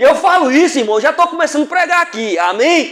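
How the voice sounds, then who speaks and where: Noticeable background noise runs under the recording. A man speaks over it with lively intonation. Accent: northern Minas Gerais. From far northern Minas Gerais, Brazil. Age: 50s. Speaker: preacher. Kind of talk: sermon. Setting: church.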